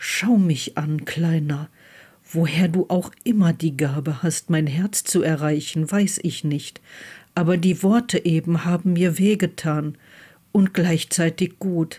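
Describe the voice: A woman's very slow, somewhat breathy voice, fairly low in pitch with fairly even intonation and a dark, mellow tone, on a very clean recording with a silent background.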